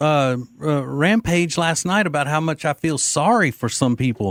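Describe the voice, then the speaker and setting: A man with a Southern US accent, fairly high in pitch, with lively intonation and a moderate pace in a dry, close sound with no echo. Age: 50s. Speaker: radio talk show host. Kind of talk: talk radio call-in.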